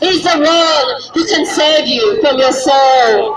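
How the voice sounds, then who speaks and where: Crowd noise fills the background as a woman talks in a high pitch. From London, UK. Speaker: street preacher. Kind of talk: street preaching, public sermon. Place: street. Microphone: camera far.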